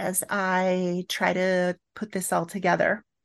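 A woman at medium pitch with a US Midwestern accent, over a quiet background. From Northeast Kansas, US Midwest. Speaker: church justice minister and professor. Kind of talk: interview.

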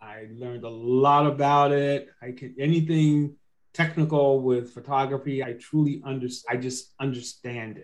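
A man's normal speaking voice at medium pitch, moderate pace and fairly even intonation, with big swings in loudness. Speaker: co-host of a podcast. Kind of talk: interview, conversational.

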